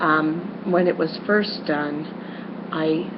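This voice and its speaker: A woman speaks at a fairly low pitch with fairly even intonation. Audible room echo and noticeable background noise surround her. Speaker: schoolteacher. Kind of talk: lecture. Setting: webcam recording. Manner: loud; halting, many fillers.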